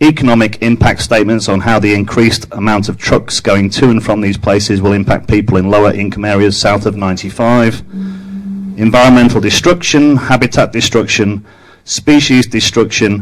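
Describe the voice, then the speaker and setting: A man with an English accent talks at a fairly quick pace and fairly low pitch, his intonation fairly even, over noticeable background noise. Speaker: public commenter at county council meeting. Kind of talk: public testimony speech. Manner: formal.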